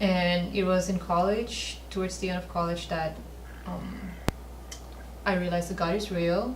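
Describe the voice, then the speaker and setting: A woman talks at a moderate pace with long, frequent pauses, amid noticeable background noise and audible room echo. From Northeast India, Manipur. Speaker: missionary, faith mentor. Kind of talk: testimony. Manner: soft-spoken.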